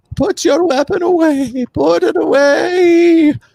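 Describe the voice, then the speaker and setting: Fairly slow, extremely high-pitched speech in a put-on character voice. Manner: commanding, urgent.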